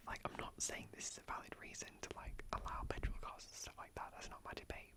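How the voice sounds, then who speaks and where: A man whispering at a fairly quick pace, with noticeable background noise. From British. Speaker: ASMR YouTuber. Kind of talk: casual talk to camera, sit-down chat. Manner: whispered, soft-spoken.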